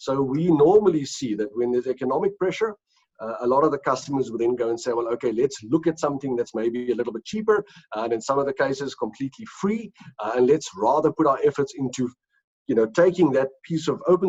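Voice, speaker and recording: A man talks at a very fast pace in a fairly high pitch with lively intonation. The sound is dry and close, with no echo. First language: Afrikaans. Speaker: company executive. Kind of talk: interview. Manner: hesitant, many fillers and repeats.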